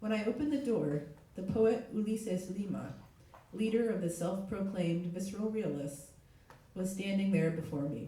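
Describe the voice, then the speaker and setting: A man talks at a high pitch with ordinary pitch variation. Audible room echo and noticeable background noise surround him. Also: moderate pace. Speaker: literary translator. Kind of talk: reading aloud.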